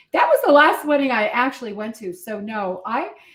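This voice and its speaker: A woman's fairly high-pitched voice. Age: 60s. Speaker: wedding officiant. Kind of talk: interview.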